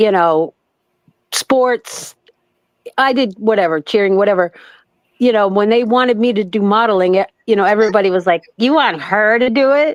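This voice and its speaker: A woman with a fairly high voice talks at a moderate pace in an animated tone, with ordinary pitch variation, very even loudness, and long, frequent pauses, the sound dry and close with no echo. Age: 60s. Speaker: former model. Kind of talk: casual chat.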